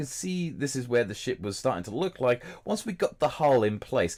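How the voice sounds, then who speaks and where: A man speaks at a fairly quick pace in a somewhat breathy, fairly high voice. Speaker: gaming YouTuber. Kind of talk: gameplay commentary voiceover.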